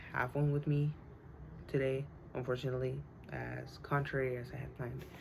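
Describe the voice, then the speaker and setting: A woman speaks in a Spanish accent at a moderate pace. There is audible room echo. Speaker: student. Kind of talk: class speech. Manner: halting, many fillers.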